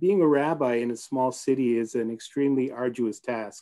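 Against a quiet background, a man's dark, mellow voice holds a medium pitch and fairly even intonation at a moderate pace. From Ottawa, Canada. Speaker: rabbi. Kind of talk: memorial tribute speech. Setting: video call. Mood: respectful, solemn. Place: home room. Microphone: video call.

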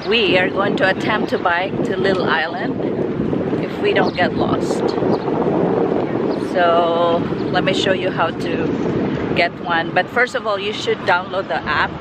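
A woman speaks at a fairly slow pace with long, frequent pauses, her dry, echo-free sound set against loud background noise. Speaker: travel vlogger. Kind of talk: casual vlog chat. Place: street. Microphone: phone near.

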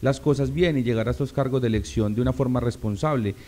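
This man's voice shows ordinary pitch variation. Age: 30s. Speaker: local politician, assembly candidate; local politician, candidate. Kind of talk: interview. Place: studio. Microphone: studio mic.

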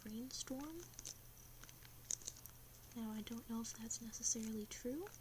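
Over noticeable background noise, a woman whispers in a soft-spoken way. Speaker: ASMR creator. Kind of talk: ASMR fact-telling. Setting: ASMR recording with gum chewing and tapping sounds. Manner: whispered, soft. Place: home room. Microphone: webcam.

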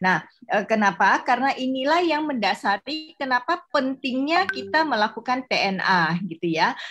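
Her voice is high in pitch with very wide pitch swings, and she, a woman, keeps a moderate pace with hardly any pauses. Light background noise can be heard. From West Kalimantan, Pontianak; West Kalimantan, Indonesia. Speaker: corporate university consultant; workshop trainer. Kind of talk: workshop presentation. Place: home room. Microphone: webcam.

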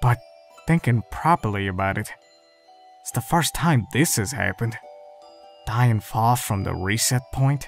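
Someone puts on a character voice at a low-to-middle pitch and a moderate pace, with long, frequent pauses. Faint music plays in the background. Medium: dub.

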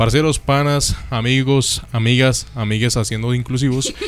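The speaker is a man. He talks at a medium pitch. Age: 20s. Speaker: student radio host. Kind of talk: casual chat. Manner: animated. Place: studio.

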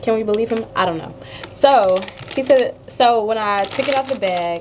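Delivered at a moderate pace with lively intonation, the voice sits over light background noise. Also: woman. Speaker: food vlogger. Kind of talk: casual vlog chat. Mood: upbeat, chatty. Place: kitchen. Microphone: webcam.

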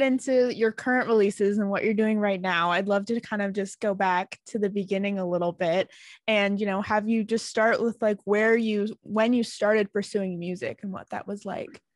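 The speech has a moderate pace and ordinary pitch variation, with a dry sound with no echo and a quiet background. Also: woman. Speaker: interviewer. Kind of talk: interview questions. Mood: friendly, upbeat. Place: home room. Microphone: studio mic.

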